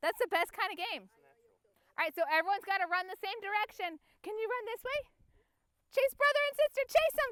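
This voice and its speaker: In a dry, close sound with no echo, the speech moves at a fairly quick pace with lively intonation, an animated, playful tone, and long, frequent pauses. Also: woman, extremely high pitch for a woman. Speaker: family photographer. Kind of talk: directing a photo session with kids. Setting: outdoors.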